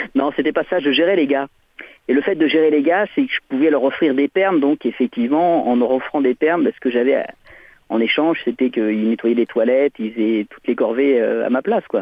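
An unremarkable speaking voice from a man, fairly high in pitch, with lively intonation and a fairly quick pace. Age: 50s. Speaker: caller, former conscript. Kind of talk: radio phone-in.

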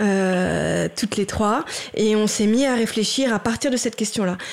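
Here is a woman with a normal speaking voice and fairly high pitch. She talks at a fairly slow pace with fairly even intonation. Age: 40s. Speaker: writer and theatre director. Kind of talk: radio interview discussion. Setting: radio studio.

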